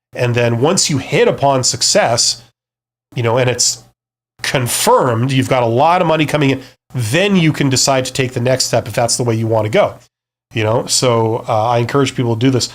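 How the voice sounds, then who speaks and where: The speaker is a man with a Canadian accent and an ordinary speaking voice at medium pitch. He uses ordinary pitch variation on a very clean recording with a silent background. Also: fairly quick pace. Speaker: business youtuber, former CEO. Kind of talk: live stream talk. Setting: live stream. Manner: casual, with fillers and repeats.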